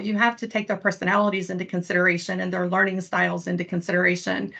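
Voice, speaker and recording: Vocal fry runs through a woman's speech in an Eastern Kentucky accent. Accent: Eastern Kentucky (self-described hick accent). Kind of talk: panel presentation. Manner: occasional word-finding stumbles after stroke.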